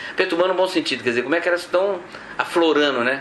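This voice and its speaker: Background noise is noticeable. A man's voice comes through it. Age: 60s. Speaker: pilgrim. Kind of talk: testimony. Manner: halting.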